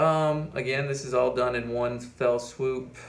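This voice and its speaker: Speaking very slowly, a man with a medium pitch is heard over noticeable background noise and audible room echo. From Appalachia, US. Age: 20s. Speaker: finance YouTuber. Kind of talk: casual vlog monologue. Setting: at home. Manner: halting, many fillers.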